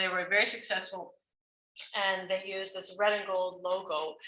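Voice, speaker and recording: A woman with a Canadian accent speaks at a moderate pace and a medium pitch. Her intonation stays monotone and flat. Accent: Canadian, kept fresh. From Canada, Ontario (Toronto). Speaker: music professor. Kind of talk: faculty talk. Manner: casual, with many fillers.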